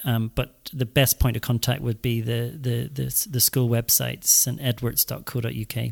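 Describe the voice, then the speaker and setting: On a very clean recording with a silent background, a man with a Northern Irish accent speaks at medium pitch and moderate pace, his intonation fairly even. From Northern Ireland, rural. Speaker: school headmaster. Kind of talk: interview. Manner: halting, many fillers and repeats.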